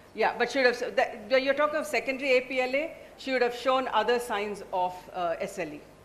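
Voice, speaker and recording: A loud, high-pitched woman at a very fast pace, with ordinary pitch variation and noticeable background noise. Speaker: obstetrician moderating case discussion. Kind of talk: medical panel discussion.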